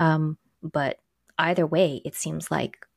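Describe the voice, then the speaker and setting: A woman with an American accent speaks at a very deep, low pitch with vocal fry, in a dry, close sound with no echo. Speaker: pharmacist podcast co-host. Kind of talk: casual chat between co-hosts.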